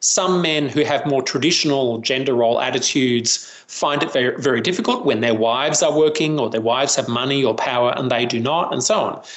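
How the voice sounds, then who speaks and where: Over noticeable background noise and audible room echo, a man with an Australian accent speaks fairly quickly at a medium pitch, with ordinary pitch variation and very even loudness. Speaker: professor and violence prevention researcher. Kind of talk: interview.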